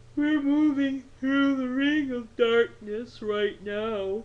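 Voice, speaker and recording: A female-sounding voice, pitched high, performs a put-on character voice at a very slow pace. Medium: read story. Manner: weary, fussy.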